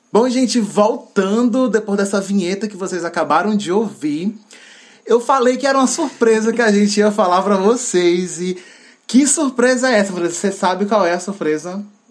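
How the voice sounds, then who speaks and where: Speaking in a high voice with an animated tone, the man shows ordinary pitch variation. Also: moderate pace. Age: 20s. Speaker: podcast co-host. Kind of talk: casual chat.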